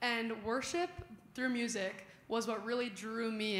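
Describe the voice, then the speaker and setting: With a Midwestern accent, a woman speaks at a moderate pace and a fairly high pitch. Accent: general American, Midwestern. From Chicago suburbs, US Midwest. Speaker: youth leader. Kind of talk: casual testimony in church. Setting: church.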